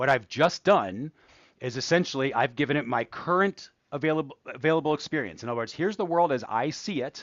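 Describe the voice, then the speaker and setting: Fairly quick and lively in intonation, a man talks in a normal speaking voice. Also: fairly high pitch for a man. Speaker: AI educator, channel host. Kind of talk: livestream tutorial. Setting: livestream. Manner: casual, conversational.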